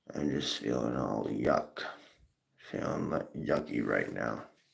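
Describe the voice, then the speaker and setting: There is audible room echo in this recording. The speaker is a man. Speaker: live streamer. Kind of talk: casual live stream talk. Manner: repetitive, hesitant.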